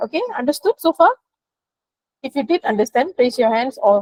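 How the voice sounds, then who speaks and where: On a dry, close recording with no echo, a woman speaks in a high voice with lively intonation and long, frequent pauses. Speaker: teacher. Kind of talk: online class lesson. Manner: fast.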